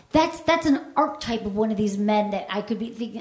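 Amid noticeable background noise, a woman speaks at a fairly high pitch with lively intonation and a fairly quick pace. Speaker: sex educator and podcast host. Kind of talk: casual conversation. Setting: stage with live audience.

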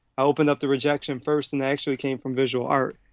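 A man with a Philadelphia accent and a fairly high pitch talks at a very fast pace, in a dry, close sound with no echo. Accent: Philadelphia American. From Philadelphia, US. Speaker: professional dancer and choreographer. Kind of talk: interview. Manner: energetic.

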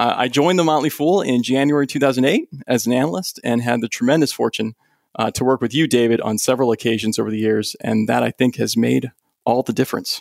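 With a dry, close sound and no echo, a man speaks very fast at a medium pitch with ordinary pitch variation. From moved often; Germany and Massachusetts. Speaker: stock analyst. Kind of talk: casual interview. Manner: halting.

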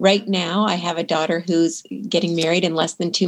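Speaking in a normal speaking voice, a woman keeps a moderate pace, a fairly low pitch and fairly even intonation. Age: 50s. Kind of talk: interview. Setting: remote call.

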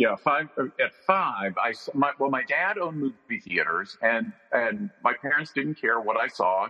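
Vocal fry marks a man's fairly high voice in an American accent, delivered at a fairly slow pace with very wide pitch swings. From North Carolina. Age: 60s. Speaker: film director and author. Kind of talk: interview. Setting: video call.

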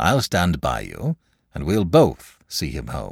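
Slow and extremely low-pitched, a man puts on a character voice with vocal fry, a slightly husky edge and very wide pitch swings, heard as a dry, close sound with no echo in a very clean recording with a silent background.

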